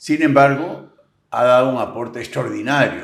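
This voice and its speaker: A man at medium pitch, speaking at a fairly slow pace, with audible room echo. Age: 70s. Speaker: agricultural businessman and political commentator. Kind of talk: interview.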